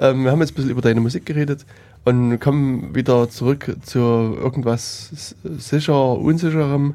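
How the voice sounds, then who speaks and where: The recording of this man is very clean, with a silent background. His tone is dark and mellow, and his intonation fairly even. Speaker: podcast host. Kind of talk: casual chat.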